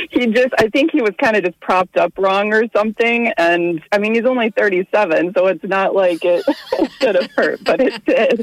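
A woman's fairly high-pitched, unremarkable speaking voice with lively intonation, moderate pace, hardly any pauses, very even loudness and a dry, close sound with no echo. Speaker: radio call-in listener. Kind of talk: casual personal anecdote. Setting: phone call.

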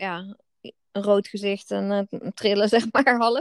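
A woman speaks at a fairly slow pace and fairly high pitch. The sound is dry and close with no echo, on a very clean recording with a silent background. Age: 30s. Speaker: podcast co-host, wellbeing business co-founder. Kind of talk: casual chat.

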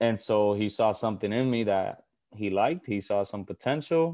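The tone is dark and mellow, with a Puerto Rican accent and ordinary pitch variation. The pace is moderate and the background is quiet. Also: man. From Puerto Rico. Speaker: former college basketball player. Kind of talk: casual interview.

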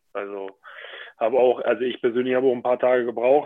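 At a moderate pace, a man talks at a medium pitch in an unremarkable speaking voice. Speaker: professional handball player. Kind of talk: casual interview.

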